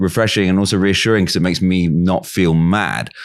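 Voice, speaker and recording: A man's very deep, low voice at a moderate pace, in a very clean recording with a silent background. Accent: English. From England. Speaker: podcast host. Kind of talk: interview; scripted introduction.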